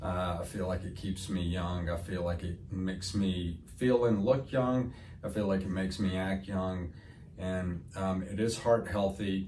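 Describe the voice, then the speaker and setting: With a Southern US accent, a man speaks in a very deep, low pitch and fairly even intonation, and audible room echo surrounds him. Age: 60s. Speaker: medical spa owner. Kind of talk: interview answer. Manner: halting, many fillers.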